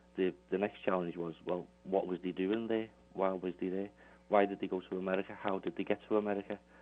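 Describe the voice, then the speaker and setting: Talking at a fairly quick pace, a man with a very deep, low pitch and a Liverpool accent keeps a monotone, flat intonation. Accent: Scouse. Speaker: Beatles author. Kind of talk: radio interview. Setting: phone call.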